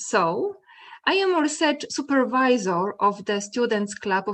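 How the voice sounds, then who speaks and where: The speaker has a Polish accent and lively intonation. The pace is fairly slow. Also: woman. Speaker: mathematics educator. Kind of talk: conference presentation. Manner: halting.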